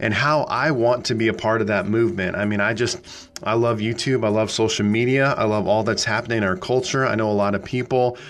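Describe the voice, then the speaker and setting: A man with an American accent, fairly even intonation, very even loudness and hardly any pauses, in a room with audible echo. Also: medium pitch for a man, fairly quick pace. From US Midwest, small-town Nebraska. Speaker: pastor. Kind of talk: solo podcast talk, sermon-like. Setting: small studio.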